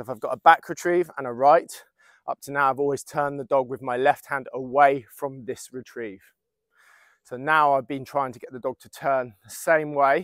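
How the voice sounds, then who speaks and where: With fairly even intonation, a man talks at a moderate pace, recorded dry with no echo over a quiet background. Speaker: dog trainer. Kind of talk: tutorial. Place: open country.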